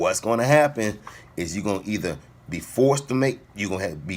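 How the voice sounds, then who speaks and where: A man with a fairly low pitch talks in an animated tone with lively intonation. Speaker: fitness vlogger. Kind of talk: casual motivational talk to camera. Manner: fast.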